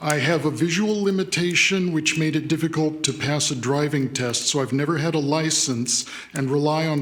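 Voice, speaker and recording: Fairly high in pitch, a man speaks with ordinary pitch variation amid audible room echo and noticeable background noise. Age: 60s. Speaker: public commenter at city council meeting. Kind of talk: public comment testimony. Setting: city council chamber.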